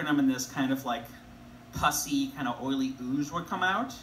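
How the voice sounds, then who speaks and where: A man talks at a medium speed with fairly level intonation while faint noise runs in the background. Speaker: comedian or storyteller. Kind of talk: stand-up comedy reading. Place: stage. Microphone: camera far.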